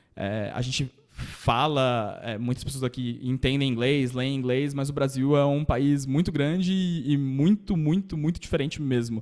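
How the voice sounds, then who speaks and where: A man at a fairly high pitch with ordinary variation, at a fairly slow pace and with hardly any pauses. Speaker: data engineer panelist. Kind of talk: panel presentation. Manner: casual, hesitant fillers.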